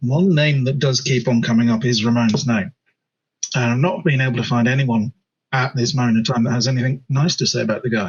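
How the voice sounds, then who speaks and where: Using a put-on character voice, a man speaks at a medium pitch and a fairly quick pace, raspy and very even in loudness. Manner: lowered voice.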